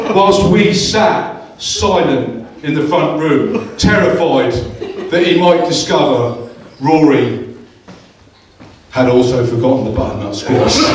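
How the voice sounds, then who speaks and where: Noticeable background noise surrounds a man with an English accent and a fairly high pitch. He speaks at a very slow pace, with very wide pitch swings and long, frequent pauses. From England. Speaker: best man. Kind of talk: wedding best man speech. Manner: humorous, teasing.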